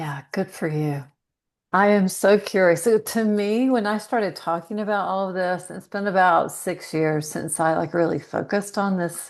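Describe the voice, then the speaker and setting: A woman talks in a normal speaking voice at a medium pitch. Her pace is moderate and her pitch varies in an ordinary way. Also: quiet background. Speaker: dietitian. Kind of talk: interview.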